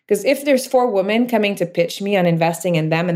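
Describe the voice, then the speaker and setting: A woman with a French Canadian accent. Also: very clean recording, silent background. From Quebec, Canada. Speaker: startup founder and CEO. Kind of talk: interview conversation about business.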